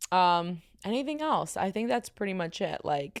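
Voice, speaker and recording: In a very clean recording with a silent background, a woman speaks with a strong New York accent. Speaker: podcast host. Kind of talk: casual chat. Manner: loud; fast, filler-heavy.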